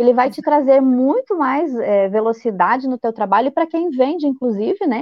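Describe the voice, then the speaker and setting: High in pitch and lively in intonation, a woman speaks at a moderate pace with hardly any pauses. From Blumenau, Santa Catarina, Brazil. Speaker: quilting teacher and youtuber. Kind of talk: casual interview.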